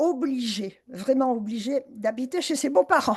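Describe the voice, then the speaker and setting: Her pitch is high for a woman, with ordinary variation. She speaks at a moderate pace. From southwest France (Bayonne). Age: 80s+. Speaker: author. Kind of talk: life story talk. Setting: video call.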